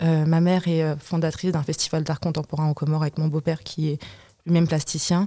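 This woman's voice is very deep and low, with a dark, mellow tone. Her intonation stays monotone and flat. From France, Comorian and Malagasy heritage. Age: 20s. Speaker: poet and artist. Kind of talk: group discussion.

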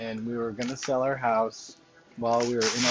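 The speech moves at a moderate pace against noticeable background noise. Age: 40s. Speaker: podcast host. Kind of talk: casual monologue.

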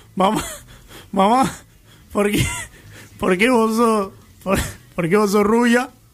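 Noticeable background noise accompanies a man speaking very slowly. His pitch is high, with ordinary pitch variation. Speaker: radio host. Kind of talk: casual chat.

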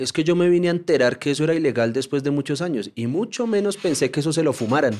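Against a quiet background, a man talks at a very fast pace. His intonation is lively. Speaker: journalist and documentary maker. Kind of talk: casual interview conversation.

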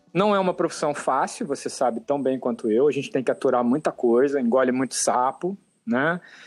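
Against a quiet background, a man with a plain, everyday voice speaks at a fairly high pitch, with lively intonation and very even loudness. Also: fairly quick pace. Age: 40s. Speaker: photo retoucher. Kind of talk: interview.

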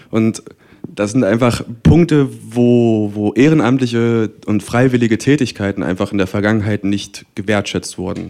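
The man's dark, mellow tone sits at a medium pitch, with ordinary pitch variation and a moderate pace. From Magdeburg, Saxony-Anhalt, eastern Germany. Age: 20s. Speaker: student and cultural event organizer. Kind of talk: panel discussion. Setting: stage with audience.

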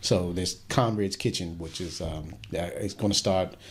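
The voice is somewhat breathy, with fairly even intonation. It moves at a moderate pace. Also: man. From US, Washington D.C. area. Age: 50s. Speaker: radio host. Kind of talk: interview.

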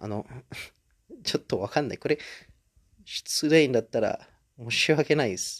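A man's medium-pitched voice with an Indonesian accent and ordinary pitch variation at a moderate pace, with long, frequent pauses and a dry, close sound free of echo. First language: Indonesian (speaking Japanese). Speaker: podcaster. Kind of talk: casual solo monologue. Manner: halting, many fillers.

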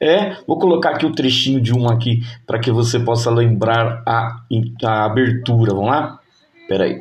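Speaking at a moderate pace amid audible room echo, a man uses an animated tone at medium pitch, with ordinary pitch variation and very even loudness. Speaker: podcast host and teacher. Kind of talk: casual nostalgic podcast monologue.

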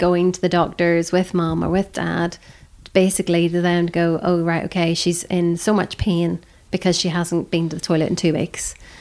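A woman speaks with a British accent at a moderate pace. Her pitch is fairly low. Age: 40s. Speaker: abuse survivor. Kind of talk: testimony.

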